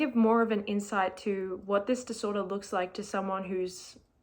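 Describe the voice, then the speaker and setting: A woman speaks in a normal speaking voice at a moderate pace, with fairly even intonation. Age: 20s. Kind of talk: casual talk to camera.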